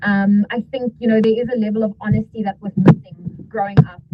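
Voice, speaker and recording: A fairly quick delivery in a South African accent, with music in the background. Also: woman. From South Africa, Cape Town and Durban. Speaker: TV and radio presenter. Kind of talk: interview, casual chat.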